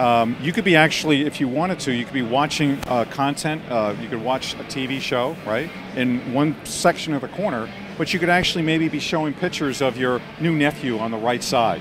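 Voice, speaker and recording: With music in the background, a man talks at a fairly quick pace. His pitch varies in an ordinary way, and the sound is dry with no echo. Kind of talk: interview answer. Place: hall. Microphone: handheld.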